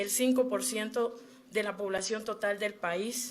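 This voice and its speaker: At a fairly slow pace, a woman speaks in a monotone, flat intonation. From Colombia, Wayuu people (La Guajira). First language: Wayuunaiki (speaking Spanish). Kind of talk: formal testimony at a human rights hearing. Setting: commission hearing. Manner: formal, with frequent hesitations.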